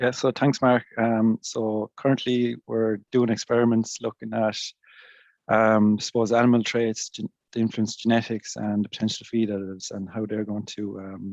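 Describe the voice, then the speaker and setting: The sound is dry and close with no echo as a man speaks in a southeastern Irish accent. His medium pitch stays monotone and flat at a moderate pace. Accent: Irish (south-east). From Ireland, Kilkenny. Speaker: agricultural researcher. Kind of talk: interview answers. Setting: online webinar.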